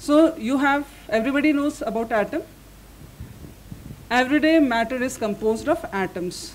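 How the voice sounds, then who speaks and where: A woman speaks with lively intonation over light background noise. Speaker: speaker. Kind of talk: lecture.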